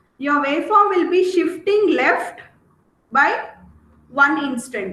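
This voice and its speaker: Very slowly, a woman projects a raised, extremely high, bright, sharp voice with lively intonation and audible room echo. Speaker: teacher. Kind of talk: lecture.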